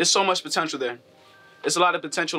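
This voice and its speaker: A man with an American accent, at a very fast pace, with fairly even intonation. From Maryland, US. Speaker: rapper. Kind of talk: interview. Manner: casual, filler-heavy; chill, quiet speaking voice.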